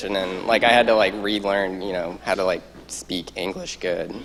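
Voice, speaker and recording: A man with an American accent speaks at a moderate pace against noticeable background noise. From US Midwest, southern Iowa. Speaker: medical student. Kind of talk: panel talk. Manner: casual, many fillers.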